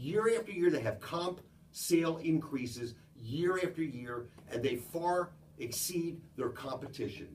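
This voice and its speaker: Audible room echo surrounds a man speaking at a fairly slow pace with a fairly high pitch. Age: 70s. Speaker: business founder. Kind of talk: talk to a group.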